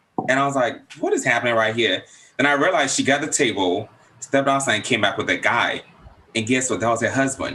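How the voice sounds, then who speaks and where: The delivery has an animated tone. It moves at a very fast pace. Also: man. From Africa. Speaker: talk show host. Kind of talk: casual chat.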